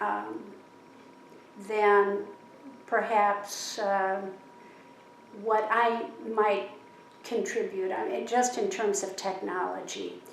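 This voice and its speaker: A woman with an American accent speaks at a very slow pace, leaving long, frequent pauses. Audible room echo surrounds her voice. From US Midwest, Chicago. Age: 70s. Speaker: interviewee. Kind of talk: interview. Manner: thoughtful, with pauses and fillers.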